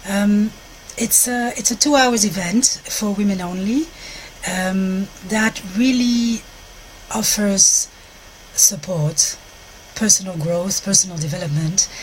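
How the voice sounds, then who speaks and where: Speaking with a Walloon accent at a very slow pace, a woman leaves long, frequent pauses, her pitch variation ordinary and the background noise noticeable. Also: medium pitch for a woman. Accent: French-speaking Belgian. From Belgium, French-speaking. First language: French. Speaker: sex therapist and intimacy coach. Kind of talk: live stream talk to viewers. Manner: halting, searching for words.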